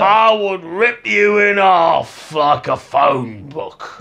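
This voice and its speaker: Using a put-on character voice, a man speaks very slowly in a high pitch with a menacing tone. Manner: menacing, threatening.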